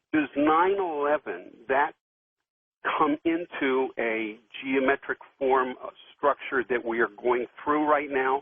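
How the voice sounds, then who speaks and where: A man's fairly high pitch, fairly even intonation, fairly slow pace and long, frequent pauses. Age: 60s. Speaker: caller. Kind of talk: call-in question. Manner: halting.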